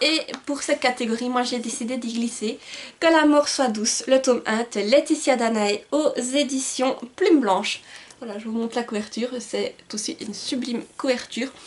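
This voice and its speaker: The speech runs at a fairly slow pace with ordinary pitch variation. Noticeable background noise is present. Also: woman. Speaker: book youtuber. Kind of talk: casual vlog talk with blurb reading. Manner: hesitant, many fillers.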